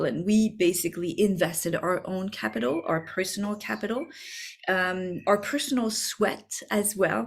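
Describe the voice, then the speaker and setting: Medium pitch, ordinary pitch variation and a fairly slow pace from a woman. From France. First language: French. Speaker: business coach. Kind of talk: masterclass. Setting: video recording. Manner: halting.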